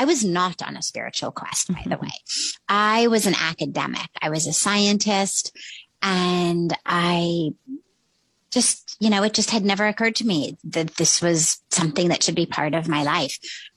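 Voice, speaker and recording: A woman with an American accent speaks in a plain, everyday voice at a fairly low pitch and moderate pace. Her pitch varies ordinarily, and the sound is dry and close with no echo. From US West Coast, Los Angeles. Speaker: spiritual teacher and author. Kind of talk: interview, reflective storytelling.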